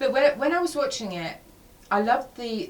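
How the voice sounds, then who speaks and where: At a moderate pace, a woman talks with an English accent, her pitch swinging very widely. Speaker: radio host. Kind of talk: radio interview. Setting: studio.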